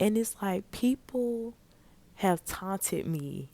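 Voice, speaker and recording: A woman with an American accent speaks in a dark, mellow tone with lively intonation. The recording is very clean, with a silent background. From US suburbs. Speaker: vlogger. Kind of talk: personal vlog monologue. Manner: halting, stuttering; emotional, candid.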